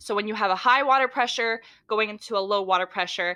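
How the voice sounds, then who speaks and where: Loud and at a fairly quick pace, a woman speaks with a fairly high pitch and ordinary pitch variation. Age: 20s. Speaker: podcast co-host. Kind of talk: casual chat.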